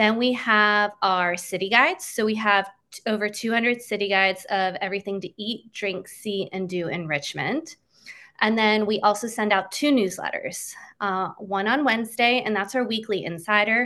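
This woman talks with an American accent in a bright, sharp tone. Her pitch is fairly high with ordinary variation, over a quiet background. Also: moderate pace. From Pennsylvania. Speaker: social media manager and former teacher. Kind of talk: interview about local travel tips.

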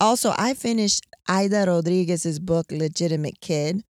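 With an American accent, a woman speaks at medium pitch and a moderate pace on a very clean recording with a silent background and a dry, close sound with no echo. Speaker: podcast host. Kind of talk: casual chat. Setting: in a car. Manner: loud.

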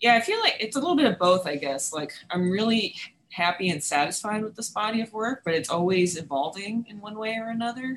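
With an American accent, a woman speaks in a plain, everyday voice at a fairly high pitch and fairly quick pace, her intonation lively and her loudness swinging widely. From New York City (Manhattan). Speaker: sculpture professor and furniture maker. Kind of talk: interview.

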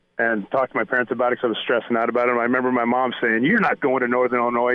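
A man speaks at a very fast pace in a medium pitch, his intonation monotone and flat. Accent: American. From Nebraska, US Midwest. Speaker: former college football player. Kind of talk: sports interview. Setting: phone call.

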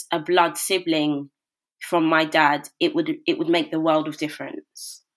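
At a moderate pace, a woman with a London accent speaks in a monotone, flat intonation. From South London (Brixton). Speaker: broadcaster and author. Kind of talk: interview.

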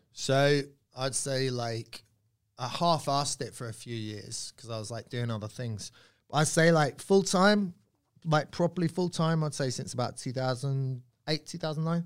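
With a southern English accent, a man with a fairly high pitch and ordinary pitch variation speaks at a fairly slow pace, with big swings in loudness, on a very clean recording with a silent background. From Surrey, England. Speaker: comedian. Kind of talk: casual chat.

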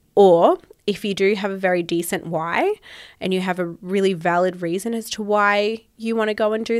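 Recorded very cleanly with a silent background, a woman with an Australian accent speaks at a fairly slow pace in a medium pitch with fairly even intonation. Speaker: podcast host. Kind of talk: casual solo chat.

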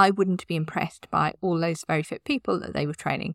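Vocal fry marks a woman's fairly low voice, with fairly even intonation at a very fast pace. The recording is very clean and dry, with a close sound, no echo and a silent background. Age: 50s. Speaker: podcast host, website designer. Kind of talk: solo podcast tips talk.

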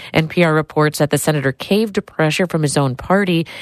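Recorded with a dry, close sound and no echo, a woman talks at a fairly quick pace with ordinary pitch variation. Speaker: public radio host. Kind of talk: radio news hosting. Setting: studio.

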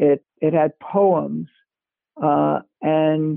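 American accent, from a male speaker. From Brooklyn, New York. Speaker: talent agent and author. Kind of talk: interview. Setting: remote call. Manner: conversational.

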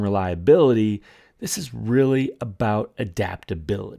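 At a fairly slow pace, a man speaks with a dark, mellow tone and very wide pitch swings, on a very clean recording with a silent background. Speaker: podcast host. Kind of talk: solo podcast rant, angry and fed up, scripted-sounding monologue. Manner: animated, exasperated, indignant; emphatic, sarcastic tone mocking the gurus.

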